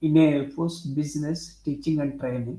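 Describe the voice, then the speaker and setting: A man speaks at a moderate pace in a fairly high pitch, with a non-native accent. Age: 60s. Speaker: professor and author. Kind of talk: interview, self-introduction. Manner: halting, many fillers.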